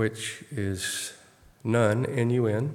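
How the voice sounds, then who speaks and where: Soft-spoken and medium in pitch, a man talks with an American accent. His intonation stays fairly even. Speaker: Bible study teacher. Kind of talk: Bible study teaching.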